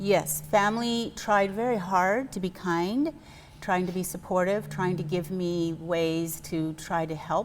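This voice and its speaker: Here is a woman with an unremarkable speaking voice and an American accent, pitched fairly low. She talks at a fairly slow pace with ordinary pitch variation. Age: 60s. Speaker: fitness program member. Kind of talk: interview.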